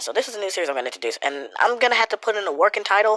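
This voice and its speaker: Her bright, sharp tone carries very wide pitch swings and vocal fry, and this woman is recorded with a dry, close sound with no echo. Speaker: YouTube commentator. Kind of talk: casual commentary video. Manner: casual, informal.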